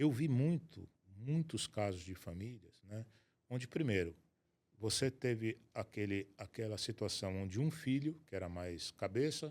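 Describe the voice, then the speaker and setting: Lively intonation runs through a normal speaking voice delivered at a fairly slow pace. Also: man. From Brazil, Rio de Janeiro state. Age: 60s. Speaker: asset protection and estate planning specialist. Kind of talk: interview conversation.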